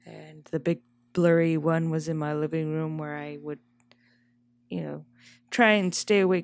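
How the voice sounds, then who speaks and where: Soft-spoken and very deep, low in pitch, a woman is captured on a very clean recording with a silent background. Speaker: podcast co-host. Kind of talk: casual chat. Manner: soft-spoken, quiet.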